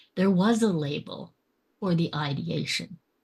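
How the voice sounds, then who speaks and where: A somewhat breathy woman's voice, fairly low in pitch, at a fairly slow pace. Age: 60s. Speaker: podcast guest. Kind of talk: casual interview. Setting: video call.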